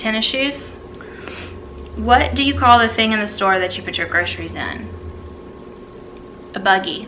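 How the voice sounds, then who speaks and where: A woman with an American accent at a moderate pace, with long, frequent pauses, noticeable background noise and audible room echo. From US South, South Carolina. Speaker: YouTuber. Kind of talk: casual chat.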